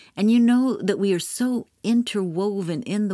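A woman's normal speaking voice at a fairly slow pace with ordinary pitch variation, on a very clean recording with a silent background. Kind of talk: storytelling narration. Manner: slow, measured, solemn reading aloud.

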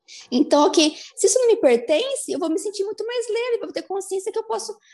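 A woman is talking. The tone of her voice is dark and mellow. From Brazil, Americana, São Paulo state. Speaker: certified energy-therapy facilitator and mother. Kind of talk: interview conversation.

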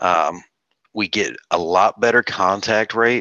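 With a Southern US accent, a man speaks fairly slowly in a bright, sharp tone, showing ordinary pitch variation in a dry, close sound with no echo. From North Carolina. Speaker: real estate investor. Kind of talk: interview. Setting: video call.

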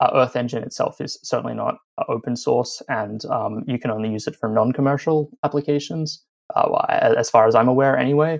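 In an Australian accent, the speaker talks at a fairly quick pace with ordinary pitch variation. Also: man, fairly high pitch for a man. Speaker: journalist. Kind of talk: interview.

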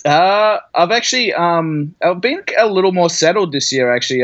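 With an Australian accent, a man speaks at a high pitch, his voice making very wide pitch swings. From Australia, Brisbane. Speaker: artist. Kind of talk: casual chat.

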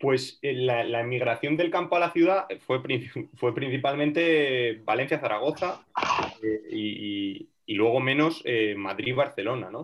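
This man has a normal speaking voice at medium pitch. He talks at a fairly slow pace with lively intonation. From Teruel, Aragon, Spain. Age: young. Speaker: rural development volunteer. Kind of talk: casual chat.

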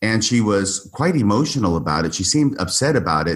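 A man's fairly low, somewhat breathy voice at a moderate pace, lively in intonation, on a very clean recording with a silent background. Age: 60s. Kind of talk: long-form interview conversation.

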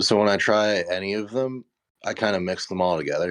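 A man talks in an unremarkable speaking voice at a fairly low pitch with ordinary variation. His pace is moderate and the background quiet. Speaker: guest. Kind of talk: casual chat.

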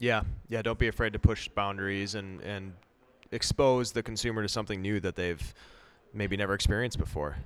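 A man with an American accent and an unremarkable speaking voice talks at a fairly quick pace and a fairly low pitch, with ordinary pitch variation. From Wisconsin. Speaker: podcast host, brewer. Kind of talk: casual chat. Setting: brewery barrel cellar.

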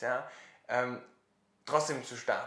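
Fairly slow male speech, audible echo from the room. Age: 20s. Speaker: social startup founder. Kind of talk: interview.

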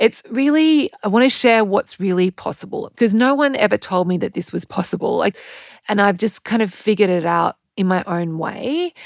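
A woman speaks at a moderate pace with an Australian accent, her medium-pitched voice full of lively intonation. The recording is very clean with a silent background, and the sound is dry and close with no echo. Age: 40s. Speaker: podcast host and health coach. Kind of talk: casual monologue.

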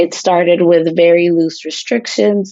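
With an American accent, a woman uses a normal speaking voice at a fairly low pitch, speaking at a fairly slow pace with fairly even intonation. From United States, Colombian parents. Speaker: foundation program associate. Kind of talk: interview monologue.

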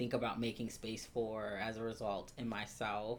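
Speaking at a fairly slow pace, a man with an American accent has an unremarkable speaking voice at medium pitch. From US Midwest (Columbus, Ohio). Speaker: spiritual life coach. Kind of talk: casual chat.

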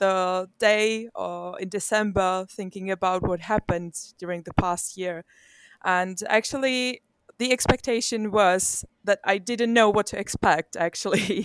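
A woman speaks with a Czech accent at a fairly slow pace. The recording is very clean, with a silent background. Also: dry, close sound with no echo. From Czech Republic. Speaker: glider pilot and instructor. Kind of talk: interview.

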